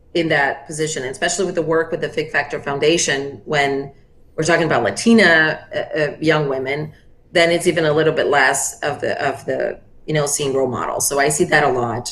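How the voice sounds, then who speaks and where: A woman speaks with a very deep, low pitch. Her pace is fairly quick and her pitch varies in an ordinary way. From Brazil. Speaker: finance executive, consultancy founder. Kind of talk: interview answer.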